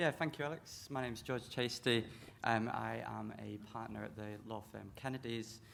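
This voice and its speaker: The room echo is audible. A man with a British accent talks at a moderate pace. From UK. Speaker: lawyer. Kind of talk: panel discussion. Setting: conference stage with audience.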